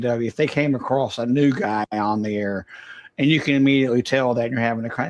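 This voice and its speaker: The voice is a man's, in a Southern US accent. It sits at a medium pitch. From US South. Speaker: ham radio operator. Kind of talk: casual chat.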